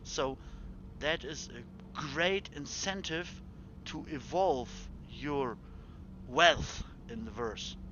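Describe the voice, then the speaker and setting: Speaking at a very slow pace, a man talks with a German accent. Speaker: video game streamer. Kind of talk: live gameplay stream commentary. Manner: halting.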